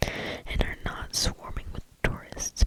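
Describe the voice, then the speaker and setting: Whispering from a woman over noticeable background noise. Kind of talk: ASMR reading of stories.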